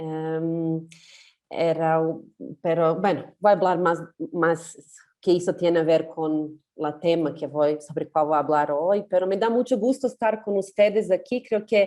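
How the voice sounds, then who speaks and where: At a fairly slow pace, a woman speaks with a fairly low pitch, ordinary pitch variation and a dark, mellow tone. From Serbia. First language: Serbian (speaking Spanish). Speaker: feminist activist. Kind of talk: panel discussion.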